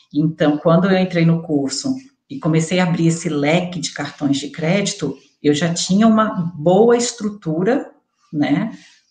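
A somewhat breathy woman at a fairly low pitch, slow-ish in pace, with lively intonation. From interior of Rio de Janeiro state, rural. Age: 30s. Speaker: air miles student sharing her experience. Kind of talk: interview. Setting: live stream video call.

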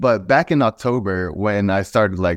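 This man has an unremarkable speaking voice, fairly low in pitch with ordinary variation and an American accent, recorded with a dry, close sound and no echo. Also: quiet background. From Texas. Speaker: streetwear brand founder. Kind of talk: interview.

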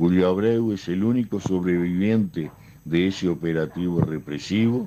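A man speaks with a very deep, low pitch and a dark, mellow tone. His pace is fairly slow, with ordinary pitch variation. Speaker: human rights activist. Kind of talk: recorded statement.

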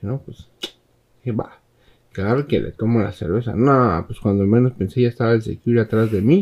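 A man's medium-pitched voice with a dark, mellow tone, a Mexican accent and a moderate pace. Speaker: podcast host. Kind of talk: casual chat. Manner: casual, laughing.

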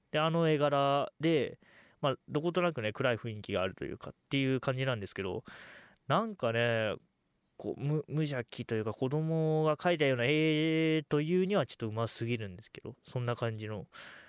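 A man talks at a moderate pace with fairly high pitch, lively intonation and big swings in loudness. The recording is very clean, with a silent background and a dry, close sound with no echo. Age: under 20. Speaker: solo podcast host. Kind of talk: casual monologue.

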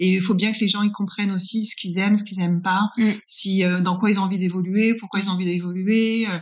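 Delivered at a fairly quick pace with hardly any pauses, the speech has monotone, flat intonation. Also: woman, medium pitch for a woman. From northern France. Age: 40s. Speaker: business consultant. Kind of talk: interview. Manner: hesitant, many fillers.

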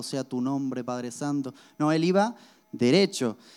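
A man speaks with music playing in the background. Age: 20s. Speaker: pastor. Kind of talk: sermon.

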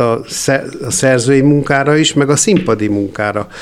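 A man has a normal speaking voice. His pitch is fairly high, with ordinary pitch variation. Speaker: composer and theatre founder. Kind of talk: interview.

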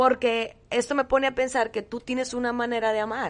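A woman's fairly high voice at a moderate pace, a plain, everyday voice, over a quiet background. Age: 20s. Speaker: podcast co-host. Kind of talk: casual conversation between partners.

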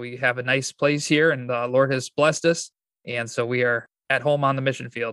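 A man with a Michigan accent, medium-pitched and bright, sharp in tone, at a moderate pace with monotone, flat intonation. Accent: Midwestern American (Michigan). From Michigan, US. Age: 20s. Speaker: pastor and church planter. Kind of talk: interview.

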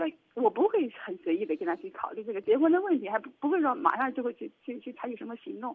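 A woman's very fast, high-pitched delivery with very wide pitch swings and big swings in loudness. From southern China. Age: 30s. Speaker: businesswoman. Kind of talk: call-in advice. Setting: phone call. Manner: halting. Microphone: heavy breathing audible, too close to phone mic.

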